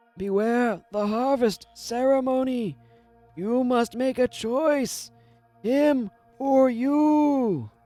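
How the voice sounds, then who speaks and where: Faint music plays in the background as a man uses a put-on character voice with an extremely high pitch, speaking at a very slow pace. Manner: ominous, warning, silly.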